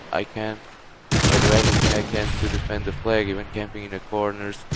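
This man has a fairly low pitch and a monotone, flat intonation at a moderate pace. The recording carries audible room echo and noticeable background noise. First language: Portuguese. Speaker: gaming YouTuber. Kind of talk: gameplay commentary. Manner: halting.

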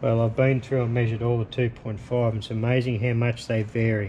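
Over light background noise, a man speaks in a dark, mellow tone, somewhat breathy and monotone with flat intonation. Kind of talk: tutorial. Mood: relaxed, casual. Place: workshop.

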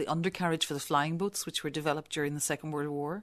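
A woman with a Belfast accent speaks in a very deep, low pitch with fairly even intonation. The background is quiet. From Northern Ireland, Belfast. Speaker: visual artist. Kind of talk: interview. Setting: studio.

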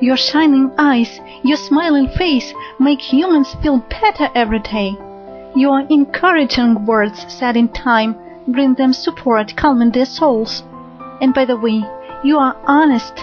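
Over music in the background, a woman with a non-native accent speaks at a fairly slow pace in a high pitch. Her intonation is lively and her loudness very even. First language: not English. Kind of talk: love poetry reading.

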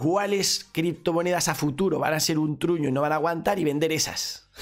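Faint music plays in the background as a man with a fairly high pitch speaks at a moderate pace with ordinary pitch variation. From Spain. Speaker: crypto streamer. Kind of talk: live stream Q&A. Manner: animated. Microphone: studio mic.

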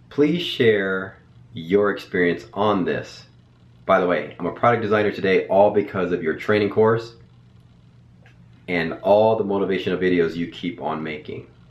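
Pausing long and often, a man speaks at a moderate pace and a fairly low pitch with ordinary pitch variation, and audible room echo surrounds his voice. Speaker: educator. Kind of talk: casual vlog chat. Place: home room.

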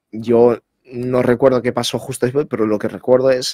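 This is a man with a medium pitch. The sound is dry and close, with no echo. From Spain (half Basque, half Moroccan). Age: 20s. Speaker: interviewee, assault survivor. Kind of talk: casual interview, personal testimony. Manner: halting, repeats words.

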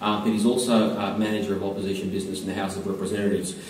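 With an Australian accent, a man talks over noticeable background noise. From Melbourne, Australia. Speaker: senator. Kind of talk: formal thank-you speech. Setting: school theatre with live audience.

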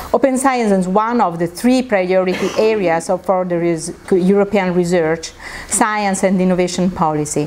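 Her loudness stays very even as a woman speaks at a moderate pace with ordinary pitch variation. Light background noise can be heard. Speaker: conference presenter. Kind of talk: presentation talk. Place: meeting room. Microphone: lapel.

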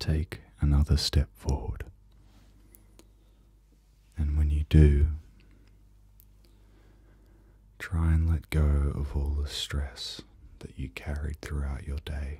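A soft-spoken man with a very deep, low pitch talks in a somewhat breathy, dark, mellow tone and a monotone, flat intonation. He leaves long, frequent pauses against a quiet background. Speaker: guided sleep meditation host. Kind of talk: soft guided meditation. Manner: very soft, slow, calming spoken voice. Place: home room.

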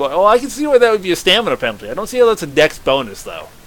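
Noticeable background noise accompanies a man with an American accent who talks at a very fast pace, in a high pitch with very wide pitch swings. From US, Southern Maryland. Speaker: gaming YouTuber. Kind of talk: let's play commentary. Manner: casual, animated.

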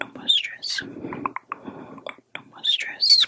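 Soft-spoken and whispering, a woman uses a soothing tone. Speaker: ASMR creator. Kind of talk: soft relaxation guidance. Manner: soft soothing ASMR whisper. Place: home room. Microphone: studio mic.

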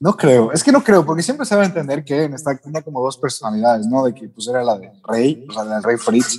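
This man talks at a fairly quick pace with lively intonation and hardly any pauses. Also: medium pitch for a man. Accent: Mexican. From Mexico, Yucatán. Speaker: anime YouTuber. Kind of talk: casual chat.

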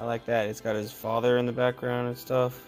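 Faint music plays in the background while the speech moves at a moderate pace. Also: man. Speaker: card opening host. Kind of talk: casual commentary while opening packs. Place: home room. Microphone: phone near.

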